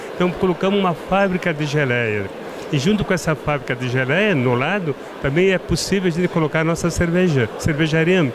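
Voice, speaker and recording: A man with a high pitch and lively intonation at a moderate pace, amid noticeable background noise. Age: 70s. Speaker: winery owner. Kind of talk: casual interview. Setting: wine trade fair.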